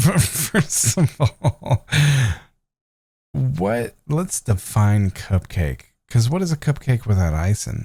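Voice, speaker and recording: A man with a somewhat breathy voice and a dark, mellow tone speaks at a medium pitch and a very slow pace, with very wide pitch swings and long, frequent pauses, in a dry, close sound with no echo. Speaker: podcast co-host. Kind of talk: casual chat. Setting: podcast recording.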